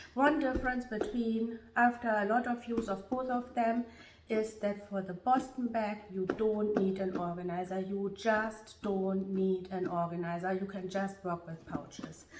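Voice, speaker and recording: Woman talking at a fairly slow pace with ordinary pitch variation and hardly any pauses, over noticeable background noise. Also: medium pitch for a woman. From Germany. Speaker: beauty and fashion vlogger. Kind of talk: product review.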